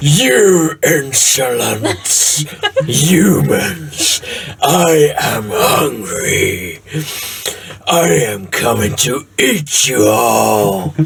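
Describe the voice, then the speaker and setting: A loud, booming put-on character voice from a man, medium in pitch and very slow in pace. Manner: menacing, hungry.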